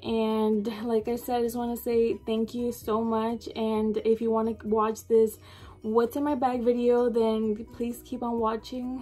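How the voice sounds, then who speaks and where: Her voice dark and mellow, a woman speaks at a fairly high pitch in a monotone, flat intonation. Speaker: beauty vlogger. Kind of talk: casual vlog talk. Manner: shy.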